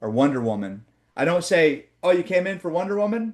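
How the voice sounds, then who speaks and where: This man talks at a moderate pace with a Midwestern accent. His pitch swings very widely over a quiet background. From Oklahoma. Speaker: sales trainer. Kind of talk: training session with role play. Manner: animated.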